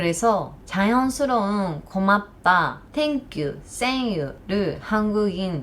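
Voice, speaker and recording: Using lively intonation and a medium pitch, a woman with a Japanese accent speaks at a very slow pace amid audible room echo and noticeable background noise. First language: Japanese (speaking Korean). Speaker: YouTuber. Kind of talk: vlog talk to camera.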